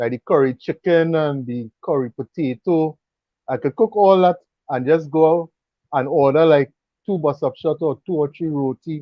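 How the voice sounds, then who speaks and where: A man with a Trinidadian accent speaks at a fairly high pitch. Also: ordinary pitch variation, moderate pace. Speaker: cooking YouTuber and mechanic. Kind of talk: casual chat.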